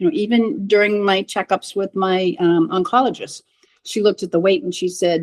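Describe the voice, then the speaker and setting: In a normal speaking voice, a woman of medium pitch talks with lively intonation, the sound dry and close with no echo. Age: 60s. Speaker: cancer patient sharing her story. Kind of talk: interview testimony.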